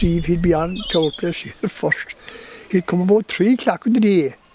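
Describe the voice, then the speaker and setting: A man's high-pitched voice with fairly even intonation, set against noticeable background noise. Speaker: storyteller. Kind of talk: oral history interview answer.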